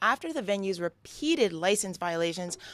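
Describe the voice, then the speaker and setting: In a very clean recording with a silent background and a dry, close sound with no echo, a woman with a New York accent talks at a fairly quick pace with lively intonation. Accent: New York American. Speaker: comedian and actor. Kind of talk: news reading.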